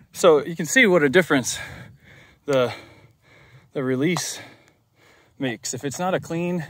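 Against light background noise, a man talks at a fairly slow pace with ordinary pitch variation and a dry sound lacking echo. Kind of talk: casual vlog chat. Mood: pleased, relaxed. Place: open country. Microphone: phone near.

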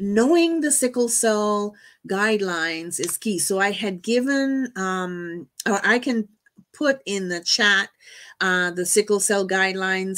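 This woman speaks with a normal speaking voice at a medium pitch and a fairly slow pace. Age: 50s. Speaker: medical doctor and patient advocate. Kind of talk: presentation. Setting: video call.

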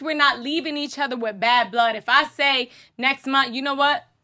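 A woman's high-pitched, bright, sharp voice, raised and projected, at a very fast pace with fairly even intonation, on a very clean recording with a silent background. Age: 30s. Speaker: podcast co-host. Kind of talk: casual chat.

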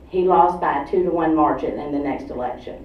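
A woman's fairly low voice with ordinary pitch variation, at a moderate pace, with audible room echo. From Atlanta, Georgia. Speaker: activist group director. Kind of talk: public talk. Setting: stage with audience. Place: hall.

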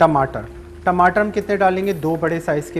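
Moderate pace and ordinary pitch variation over music in the background. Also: man. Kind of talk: tutorial. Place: studio. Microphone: lapel.

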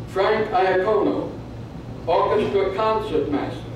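Delivered at a fairly slow pace, the speech carries strong room echo and noticeable background noise. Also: man. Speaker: presenter at a birthday ceremony. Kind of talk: ceremonial reading of an official citation. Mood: ceremonial and warm. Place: hall.

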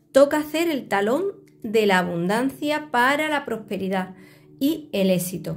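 A woman with a somewhat breathy, fairly high voice swings her pitch very widely. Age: 50s. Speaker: tarot reader. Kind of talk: video tutorial with self-promotion. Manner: animated. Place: home room. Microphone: phone near.

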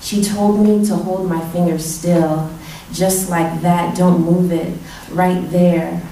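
Very slow, monotone speech from a woman at a fairly low pitch, with audible room echo and light background noise. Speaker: poet. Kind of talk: poem performed at a reading, intimate and confessional spoken-word delivery. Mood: intimate, measured. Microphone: podium.

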